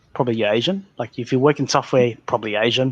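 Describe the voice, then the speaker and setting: An Australian accent comes through in a dry, close recording with no echo. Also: man. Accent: Australian, mild (says he doesn't talk broad). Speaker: podcast host. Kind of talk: casual chat. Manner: halting, many false starts and fillers.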